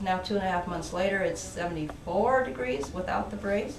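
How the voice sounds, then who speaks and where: A woman talks at a moderate pace with ordinary pitch variation, with audible room echo and noticeable background noise. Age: 70s. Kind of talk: testimony.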